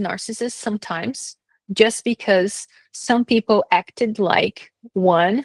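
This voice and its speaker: The sound is dry and close with no echo, over a quiet background. A woman speaks at a fairly high pitch with ordinary pitch variation. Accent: Brazilian. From Brazil. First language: Brazilian Portuguese. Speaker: vlogger telling personal story. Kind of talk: personal testimony monologue. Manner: halting, many fillers.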